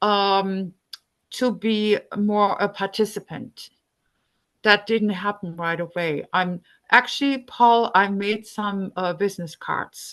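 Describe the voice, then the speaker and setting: The delivery is very slow, with fairly even intonation. The speaker has a non-native accent. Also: woman, medium pitch for a woman. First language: not English. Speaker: climate activist volunteer. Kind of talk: group discussion, personal sharing. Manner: halting, many fillers.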